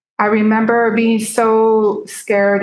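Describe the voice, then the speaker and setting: A woman with a Spanish accent and monotone, flat intonation. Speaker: peer self-advocacy speaker. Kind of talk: seminar talk, personal testimony.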